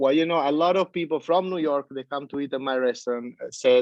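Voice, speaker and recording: This is a man speaking. He talks with an Italian accent. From Italy. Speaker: pizza chef. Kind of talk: interview. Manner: halting, many fillers; animated.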